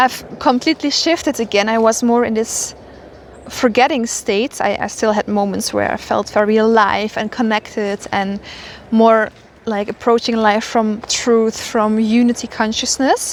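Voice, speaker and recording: Speaking at a moderate pace, a woman with an unremarkable speaking voice keeps her fairly high pitch in fairly even intonation. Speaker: spiritual mentor. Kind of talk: casual spiritual monologue. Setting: outdoors walking.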